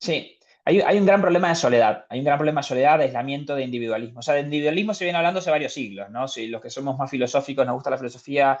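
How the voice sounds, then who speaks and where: The words come at a very fast pace with hardly any pauses and ordinary pitch variation. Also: man, fairly high pitch for a man. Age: young. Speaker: professor. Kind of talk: lecture.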